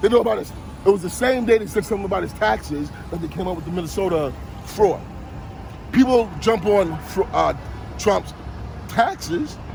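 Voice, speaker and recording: A man with a New York accent speaks at a moderate pace. Noticeable background noise runs underneath. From Brooklyn, New York (Bushwick/Williamsburg). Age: 50s. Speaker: passerby interviewed on the street. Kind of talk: street interview, heated political talk. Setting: outdoors on a city street. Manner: animated, talks over the interviewer.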